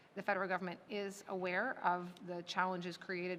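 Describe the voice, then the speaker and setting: A woman talks in a plain, everyday voice at a moderate pace and medium pitch. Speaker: government minister. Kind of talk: legislative committee debate.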